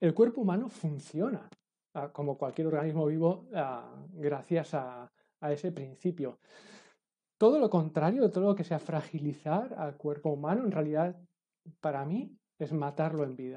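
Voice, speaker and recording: A man with a dark, mellow tone and a fairly high pitch speaks at a moderate pace, with lively intonation and long, frequent pauses. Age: 40s. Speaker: fitness and movement educator. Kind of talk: casual interview chat.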